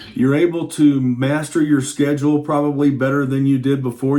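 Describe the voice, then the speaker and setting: Noticeable background noise runs under this man's voice. He speaks at a moderate pace with a fairly high pitch. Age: 60s. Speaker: guitar teacher. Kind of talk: tutorial. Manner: animated.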